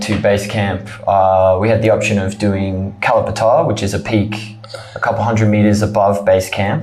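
A man speaks fairly slowly with an Australian accent in a fairly low voice. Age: 20s. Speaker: trekker. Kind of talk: interview. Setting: studio.

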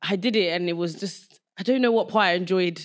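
A woman with a Southeast London accent speaks at a medium pitch. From Nigeria, raised in London from age seven. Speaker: podcast host. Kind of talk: casual chat.

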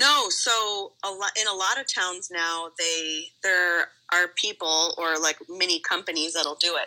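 In an ordinary speaking voice, a woman with an American accent talks at a fairly slow pace with hardly any pauses, her medium pitch showing ordinary variation. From Nevada. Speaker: emergency room nurse. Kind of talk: casual chat.

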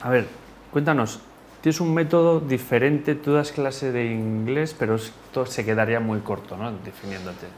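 Here is a man with an ordinary speaking voice at a medium pitch. He keeps a moderate pace and ordinary pitch variation. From Spain. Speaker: podcast host. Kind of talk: interview.

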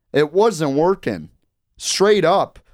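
The intonation of this man's speech is lively. Everything sits on a very clean recording with a silent background. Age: 20s. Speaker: college radio sports co-host. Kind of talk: casual sports talk. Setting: radio studio.

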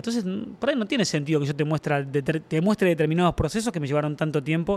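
The speaker rattles along at a very fast pace in a Rioplatense accent, with lively intonation. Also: man. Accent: Argentine Spanish (rioplatense). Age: 50s. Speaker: drum maker. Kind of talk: interview. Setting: workshop. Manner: halting.

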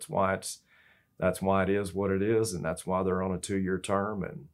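A man with a Texan accent speaks at a moderate pace. His very deep, low voice comes through on a very clean recording with a silent background. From Texas. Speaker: state senator. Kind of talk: interview. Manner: halting, many fillers.

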